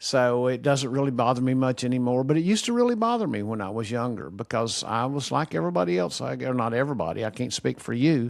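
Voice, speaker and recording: At a very fast pace with hardly any pauses, a man talks at a medium pitch with ordinary pitch variation. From Kentucky. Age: 60s. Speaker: retired teacher, video commentator. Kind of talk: casual monologue. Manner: straightforward, plain.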